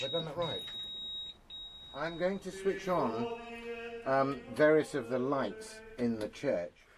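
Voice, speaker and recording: Music plays in the background as a man speaks at a very slow pace, leaving long, frequent pauses. His voice is high in pitch and makes very wide pitch swings. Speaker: priest and chaplain. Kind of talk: interview answer about church service. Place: church.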